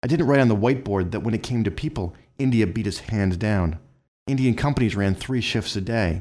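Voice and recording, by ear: Behind this reading aloud in a natural voice, the background stays quiet.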